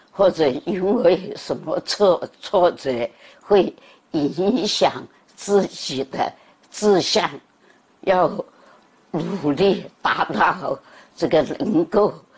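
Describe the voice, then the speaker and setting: With lively intonation, a woman speaks at a very slow pace, leaving long, frequent pauses. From Guangzhou, China. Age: 80s+. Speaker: elderly video creator. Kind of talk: interview answer. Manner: slow, clear. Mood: calm, content, reflective. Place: home room. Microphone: lapel.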